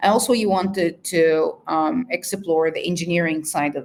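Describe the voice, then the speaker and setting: Speaking at a moderate pace with an Arabic accent, a woman uses a fairly low pitch and ordinary pitch variation. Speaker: researcher. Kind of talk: interview. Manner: halting, many fillers.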